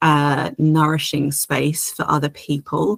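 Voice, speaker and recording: A woman speaks with a British accent. The sound is dry and close, with no echo. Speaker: astrologer. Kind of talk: astrology horoscope monologue. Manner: hesitant, many filler words.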